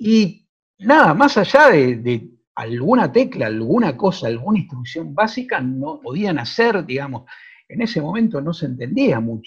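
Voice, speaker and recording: The speaker talks at a fairly slow pace with very wide pitch swings. The background is quiet. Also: man, high pitch for a man. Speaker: magazine journalist. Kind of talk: interview.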